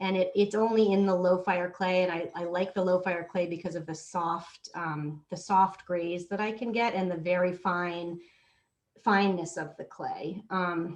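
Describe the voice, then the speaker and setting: Here a woman speaks with an American accent at a moderate pace. Her medium-pitched voice is monotone, with flat intonation. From Massachusetts, US. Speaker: ceramics teacher and workshop participant. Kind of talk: casual self-introduction. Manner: halting.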